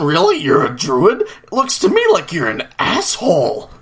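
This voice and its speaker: A man delivers his lines in a put-on character voice at a moderate pace. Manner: sarcastic, condescending.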